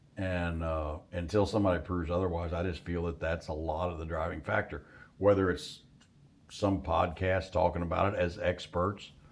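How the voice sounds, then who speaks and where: This man has a very deep, low pitch. He keeps a moderate pace and fairly even intonation. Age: 60s. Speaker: hunting outfitter. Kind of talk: casual chat. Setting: deer camp.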